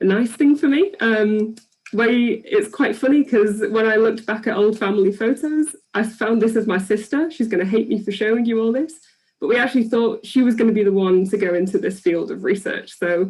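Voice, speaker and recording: Somewhat breathy, a woman with an English accent talks at a fairly high pitch and a fairly quick pace, with ordinary pitch variation. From England. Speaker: PhD researcher. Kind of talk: presentation talk. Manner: halting, many fillers.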